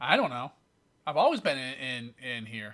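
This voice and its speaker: A man puts on a character voice at a medium pitch, speaking at a moderate pace. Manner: naive, bewildered.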